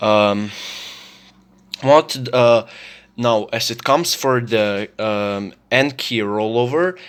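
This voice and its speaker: A very slow pace with ordinary pitch variation. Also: man. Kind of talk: casual product review to camera. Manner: hesitant, stuttering, many filler words.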